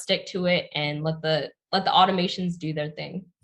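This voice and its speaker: This woman has an ordinary speaking voice and a General American accent. She speaks at a moderate pace with a fairly low pitch. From Pennsylvania, US. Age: 20s. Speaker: YouTuber and entrepreneur. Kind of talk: interview.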